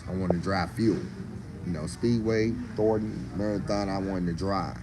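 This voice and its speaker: A man with a very deep, low pitch talks fairly quickly with ordinary pitch variation, and the room echo is audible. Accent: American. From Mississippi, US South. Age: 60s. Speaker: barbecue cook and food vlogger. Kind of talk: casual live-stream chat. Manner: animated, informal.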